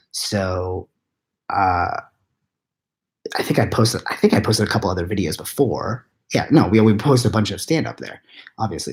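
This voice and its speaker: A man speaks in a somewhat breathy voice, with long and frequent pauses. The recording is very clean, with a silent background. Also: big swings in loudness. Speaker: web series creator. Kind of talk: casual live Q&A. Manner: whispered.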